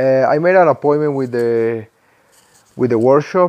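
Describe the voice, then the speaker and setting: A man talks with a Colombian accent. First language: Spanish. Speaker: motorcycle vlogger. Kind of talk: casual vlog narration. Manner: halting, frequent fillers and repetitions.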